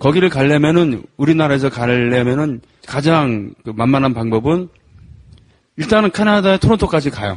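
A man with an ordinary speaking voice, fairly high pitch, lively intonation and a moderate pace. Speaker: folk protest singer. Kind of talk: casual chat.

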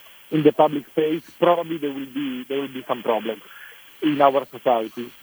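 The sound is dry and close with no echo, though there is noticeable background noise. The pace is moderate, with ordinary pitch variation. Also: man. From Italy. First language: Italian. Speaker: film director. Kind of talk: interview. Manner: halting.

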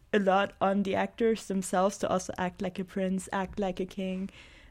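A woman with an ordinary speaking voice talks at medium pitch and a moderate pace in a very clean recording with a silent background. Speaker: student actor. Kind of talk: casual chat. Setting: studio.

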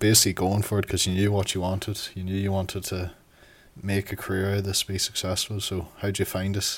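A man speaks at a fairly low pitch in an Ulster border accent. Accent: Irish, Ulster-border. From Ireland, County Monaghan. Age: 20s. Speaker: pro wrestler. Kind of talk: documentary narration and casual chat.

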